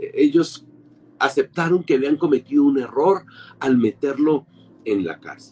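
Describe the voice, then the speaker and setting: A fairly high-pitched man, animated and fairly slow, with long, frequent pauses, big swings in loudness and a dry, close sound with no echo. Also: ordinary pitch variation. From Colombia. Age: 50s. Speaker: pastor. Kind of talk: sermon.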